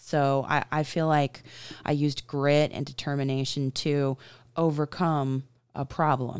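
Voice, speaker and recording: A woman with a very deep, low pitch speaks at a fairly slow pace in a monotone, flat intonation. The recording is very clean, with a silent background. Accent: American. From US South. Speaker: podcast host. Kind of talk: casual chat.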